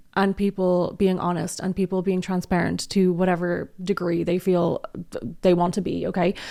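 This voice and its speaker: On a very clean recording with a silent background, a woman speaks at medium pitch with an Irish accent. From Ireland. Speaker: commentary youtuber. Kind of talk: casual commentary. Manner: animated.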